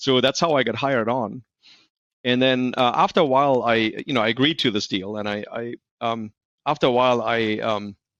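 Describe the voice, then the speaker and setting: A man with a slight German accent and a medium pitch speaks at a fairly quick pace with ordinary pitch variation, against a quiet background. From Germany. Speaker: industrial maintenance expert. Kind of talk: podcast interview. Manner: halting, many fillers and repeats.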